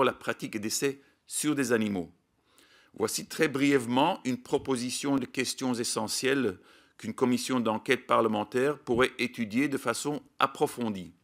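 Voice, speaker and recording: A man with a Belgian accent, medium pitch, ordinary pitch variation and a moderate pace, on a very clean recording with a silent background. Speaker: scientific expert, animal welfare advocate. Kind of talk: prepared statement at parliamentary hearing. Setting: public parliamentary hearing. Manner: formal.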